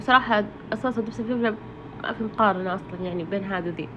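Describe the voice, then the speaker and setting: Noticeable background noise sits behind a woman's voice. She has a fairly high pitch with ordinary pitch variation. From Saudi Arabia, Ha'il. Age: 30s. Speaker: cooking vlogger. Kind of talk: casual vlog narration. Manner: halting, many fillers.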